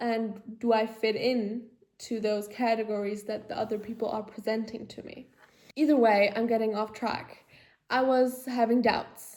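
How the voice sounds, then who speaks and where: A woman's fairly high voice at a moderate pace, flat and monotone in intonation, with big swings in loudness. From Germany. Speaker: podcaster. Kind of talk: casual personal monologue. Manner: halting, filler-heavy.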